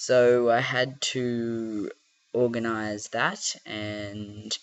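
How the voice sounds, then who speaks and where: A man speaks with an Australian accent. His pitch sits in the middle range. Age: 20s. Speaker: vlogger. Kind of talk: casual vlog. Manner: hesitant, many fillers.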